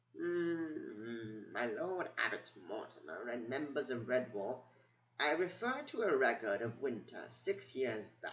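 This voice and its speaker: In a put-on, squeaky character voice, a man speaks at a fairly slow pace and a medium pitch. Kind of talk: bedtime story. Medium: read story. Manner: rambling, hesitant, muttering.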